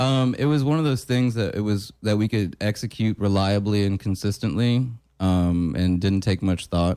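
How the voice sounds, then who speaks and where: A man with an American accent talks at a moderate pace, his fairly low pitch showing ordinary variation and a dark, mellow tone. The recording is very clean with a silent background, and his loudness stays very even. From Florida, Winter Park. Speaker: butcher. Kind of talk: casual chat.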